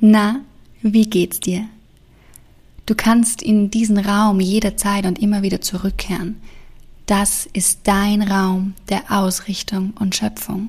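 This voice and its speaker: A woman's somewhat breathy, gentle, soothing voice at a medium pitch, very slow and monotone, with long, frequent pauses. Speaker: meditation guide. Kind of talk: guided meditation. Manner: slow, soothing, calm; gentle, hushed with long pauses.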